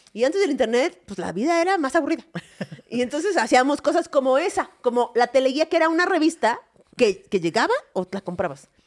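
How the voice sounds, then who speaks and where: A woman with a Mexican accent speaks at a fairly quick pace in a high pitch. Her pitch swings very widely over a quiet background. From Mexico. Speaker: comedy podcast co-host. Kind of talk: casual comedic chat. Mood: playful, humorous. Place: studio. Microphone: studio mic.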